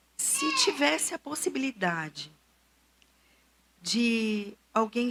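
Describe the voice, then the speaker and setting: A woman's fairly high voice, long, frequent pauses, and noticeable background noise. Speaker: psychotherapist speaking at church. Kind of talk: church talk on emotional health.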